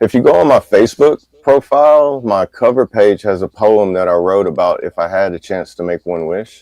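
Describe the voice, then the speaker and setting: Speaking at a moderate pace, a man uses lively intonation and a dark, mellow tone. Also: dry, close sound with no echo. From Louisiana. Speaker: live stream co-host. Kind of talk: casual chat.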